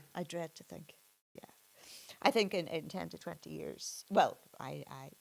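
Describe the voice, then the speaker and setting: A woman with a Northern Irish accent at a moderate pace, with big swings in loudness. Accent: Derry Northern Irish. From Northern Ireland, Derry. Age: 60s. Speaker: suspended doctor. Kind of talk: interview conversation. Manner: halting, many repetitions.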